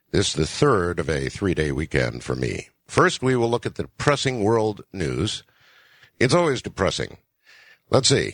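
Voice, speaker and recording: A man's fairly low voice with vocal fry and very wide pitch swings, at a moderate pace against a quiet background. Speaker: radio talk show host. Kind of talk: late-night radio broadcast. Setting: radio studio.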